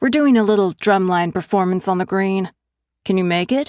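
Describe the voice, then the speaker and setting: A woman's put-on character voice at medium pitch with ordinary pitch variation, dry and close with no echo, on a very clean recording with a silent background. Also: moderate pace. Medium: read story. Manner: snarky, gossipy.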